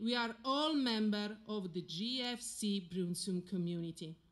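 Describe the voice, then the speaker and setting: Over music in the background, a woman with an Italian accent talks at a fairly high pitch with very wide pitch swings. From Italy. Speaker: military spouse speaker. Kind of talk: ceremonial speech. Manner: formal.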